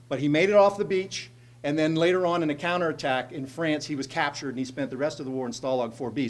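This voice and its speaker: A man with a central Pennsylvania accent at a fairly high pitch and very fast pace, with ordinary pitch variation. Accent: central Pennsylvania American. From central Pennsylvania, Altoona. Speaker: state legislator. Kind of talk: speech to a group. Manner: conversational storytelling.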